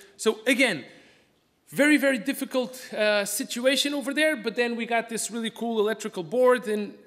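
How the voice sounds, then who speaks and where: Lively intonation marks a man's fairly quick speech. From Portugal. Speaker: aquarium fish collector and business owner. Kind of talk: conference talk. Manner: fast; halting.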